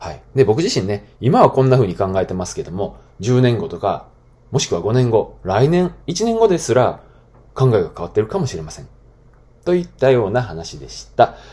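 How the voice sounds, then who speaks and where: A man's dark, mellow, somewhat breathy voice at medium pitch and moderate pace, with very wide pitch swings and big swings in loudness. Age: 30s. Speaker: podcast host, former school teacher. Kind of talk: solo talk podcast monologue. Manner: casual with many fillers.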